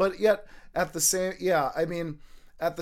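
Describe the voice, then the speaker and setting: This man speaks with an American accent at a moderate pace, captured in a very clean recording against a silent background. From US Midwest, Minnesota. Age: 30s. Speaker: parkour and urban exploration enthusiast. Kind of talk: casual chat.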